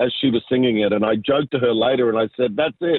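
This voice, in an Australian accent, moves at a fairly quick pace. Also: man. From southwest Sydney, Australia. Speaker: business pastor and entrepreneur. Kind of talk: interview testimony.

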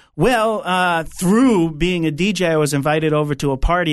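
Over a quiet background, the speaker talks at a moderate pace in a New York accent, with ordinary pitch variation. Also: man. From Long Island, New York. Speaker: pastor and DJ. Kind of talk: interview conversation with prayer.

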